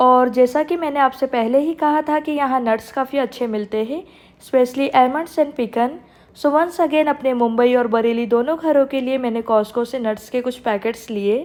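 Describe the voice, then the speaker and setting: This woman has a high pitch and ordinary pitch variation. She speaks at a moderate pace. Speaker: vlogger. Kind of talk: narrated vlog voiceover.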